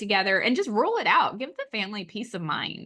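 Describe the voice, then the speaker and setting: In an Oklahoma accent, a woman with a fairly high pitch and a bright, sharp tone talks at a moderate pace over a quiet background. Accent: Oklahoma twang. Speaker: astrologer. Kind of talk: casual discussion.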